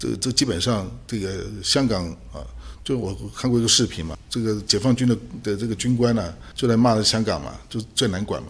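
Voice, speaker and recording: A man talks at a fairly quick pace with ordinary pitch variation. His fairly low voice carries vocal fry. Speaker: political scientist, associate professor and human rights activist. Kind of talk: interview. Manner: halting, many fillers.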